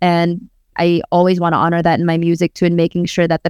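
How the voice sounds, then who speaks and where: A fairly low-pitched woman with a Filipino accent, monotone and flat, at a fairly quick pace, dry and close with no echo, on a very clean recording with a silent background. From Tacloban, Philippines, raised Bay Area California. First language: Waray-Waray. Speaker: rapper and spoken word artist. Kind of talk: casual interview conversation.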